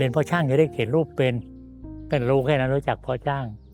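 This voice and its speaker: Music plays in the background as a man speaks in a fairly high pitch with fairly even intonation. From Thailand, Ratchaburi province. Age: 80s+. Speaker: artist. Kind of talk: interview answer, reminiscing about childhood. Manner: casual, conversational.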